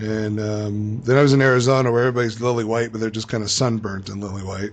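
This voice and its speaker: A man talking at a very fast pace, medium in pitch, with monotone, flat intonation. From Los Angeles. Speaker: radio co-host. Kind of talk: casual chat.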